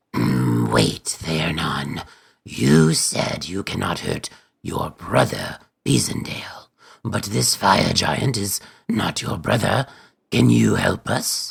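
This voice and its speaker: A man does a put-on character voice with a very deep, low pitch. He speaks at a very slow pace. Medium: actual play.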